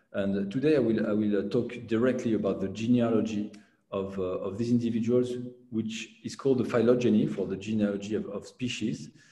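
A man speaks at a fairly quick pace with audible room echo. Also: fairly even intonation, quiet background. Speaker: lecturer. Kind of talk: lecture. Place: home room. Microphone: webcam.

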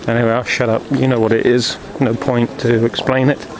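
Speech comes at a moderate pace, the sound dry with no echo, and background noise is noticeable. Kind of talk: casual travel commentary. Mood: relaxed, amused. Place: market. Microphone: phone near.

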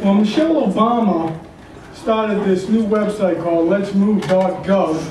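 With audible room echo, a man talks at a fairly slow pace in a high pitch, showing ordinary pitch variation and a slightly mellow tone.

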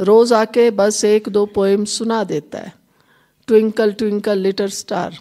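In a very clean recording with a silent background, a woman speaks at a fairly high pitch with a dark, mellow tone and monotone, flat intonation. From Himachal Pradesh, India. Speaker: spiritual teacher. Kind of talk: spiritual talk. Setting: hall with live audience. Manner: conversational, addresses audience directly.

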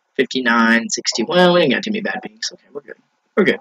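At a fairly quick pace, a man talks over a quiet background. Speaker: gaming YouTuber. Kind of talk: live gameplay commentary. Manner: animated. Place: home room. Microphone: headset.

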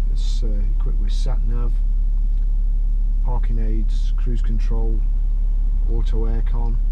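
Background noise is noticeable here. A man's voice comes through it. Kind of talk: car review commentary. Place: car. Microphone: camera far.

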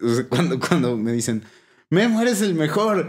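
A man in a Mexican accent speaks at a fairly slow pace with lively intonation. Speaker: podcast host. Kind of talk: casual chat.

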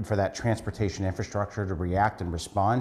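A man's unremarkable speaking voice, fairly low in pitch, with fairly even intonation, a fairly quick pace and a quiet background. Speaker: city council member. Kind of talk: interview answer. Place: office.

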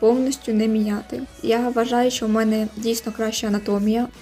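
Music plays in the background as a woman talks at a moderate pace. Her pitch is fairly high and her intonation fairly even. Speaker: digital artist. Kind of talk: casual voiceover commentary on drawing video.

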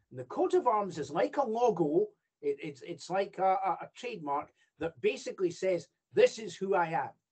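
This man talks at a moderate pace with a Scottish accent, his loudness swinging widely. The background is quiet. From Scotland. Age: 60s. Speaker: judge and royal ceremonial official. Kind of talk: lecture. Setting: video call. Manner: halting. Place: home room. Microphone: video call.

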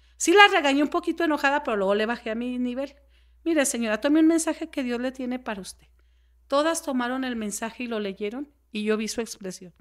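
Over a quiet background, a woman talks at a very fast pace. Her pitch is high and her intonation lively. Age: 40s. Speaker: podcast guest. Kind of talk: interview conversation. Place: home room. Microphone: studio mic.

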